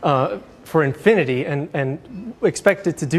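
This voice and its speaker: A man speaks in a fairly high voice for a man, somewhat breathy, with lively intonation. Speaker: university lecturer. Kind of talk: lecture. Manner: fast.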